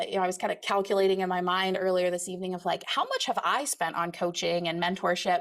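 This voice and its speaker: Medium pitch from a female speaker. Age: 40s. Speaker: psychiatrist turned real estate investor and coach. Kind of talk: online workshop presentation. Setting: live online workshop with chat. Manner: fast; animated.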